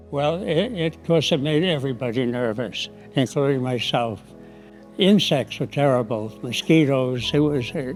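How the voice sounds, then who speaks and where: A man with an American accent at a moderate pace, with lively intonation and big swings in loudness, over music in the background. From United States. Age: 80s+. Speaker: war veteran. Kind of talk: interview answer.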